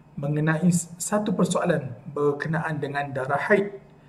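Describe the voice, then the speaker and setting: Moving at a moderate pace, a man talks with ordinary pitch variation. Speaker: speaker. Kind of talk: sermon. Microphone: webcam.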